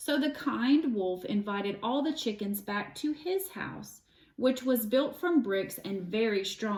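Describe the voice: With lively intonation, the text is read aloud plainly.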